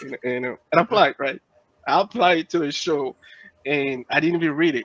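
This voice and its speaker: A man talks at a very fast pace and a fairly high pitch. The sound is dry and close, with no echo. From Benin. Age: young. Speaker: music artist and IT engineer. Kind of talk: interview. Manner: halting, many fillers.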